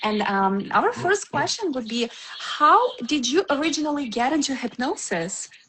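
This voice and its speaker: A woman with a non-native accent and a high pitch, very wide pitch swings, and noticeable background noise. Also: moderate pace. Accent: foreign. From Ukraine. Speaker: podcast host. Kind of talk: podcast interview.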